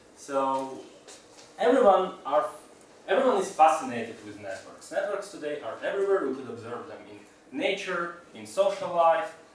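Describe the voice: Fairly high pitch for a man, big pitch swings, a moderate pace and audible room echo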